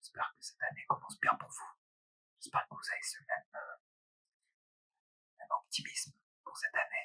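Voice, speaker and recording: Whispering and soft-spoken at a moderate pace, this voice has big swings in loudness and long, frequent pauses, with a dry, close sound and no echo. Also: man. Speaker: ASMR creator. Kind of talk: ASMR casual talk. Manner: soft, lightly whispered.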